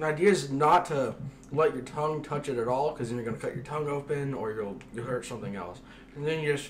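Talking at a very fast pace with ordinary pitch variation, a man is heard over light background noise. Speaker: vlogger. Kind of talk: casual vlog chat. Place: kitchen. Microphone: camera far.

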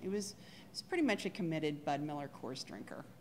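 Speaking at a fairly quick pace, a woman with low pitch uses lively intonation.

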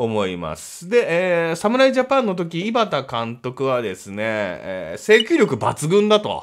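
In an animated tone, a man speaks with very wide pitch swings. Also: quiet background. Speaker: comedian and baseball fan YouTuber; comedian, baseball fan YouTuber. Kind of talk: solo commentary on baseball draft. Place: home room.

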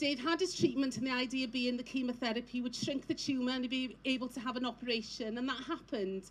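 Very fast, high-pitched speech from a woman, ordinary pitch variation, light background noise. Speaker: speaker. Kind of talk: personal testimony speech. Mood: emotional, recounting husband's illness. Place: stage. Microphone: handheld.

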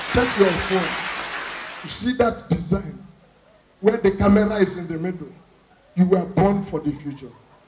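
A man's high voice with ordinary pitch variation and big swings in loudness, over light background noise. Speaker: stand-up comedian. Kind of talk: stand-up comedy routine. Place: stage. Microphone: handheld.

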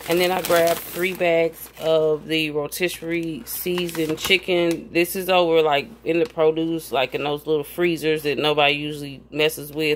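At a moderate pace, a woman speaks with low pitch and little pitch movement.

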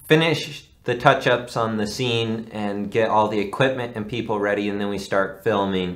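Fairly low in pitch with fairly even intonation, the man has an unremarkable speaking voice. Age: 20s. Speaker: amateur film actor and writer; amateur film actor. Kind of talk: casual interview.

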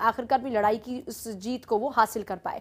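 A woman speaks in a raised, projected voice at a moderate pace. Her tone is bright and sharp. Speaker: news anchor. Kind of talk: news presentation. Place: studio.

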